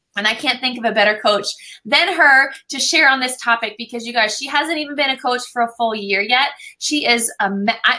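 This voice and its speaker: At a fairly quick pace, a woman with a fairly high pitch speaks with ordinary pitch variation over noticeable background noise. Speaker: team leader hosting a coach training call. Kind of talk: team call announcements and speaker introduction. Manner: fast.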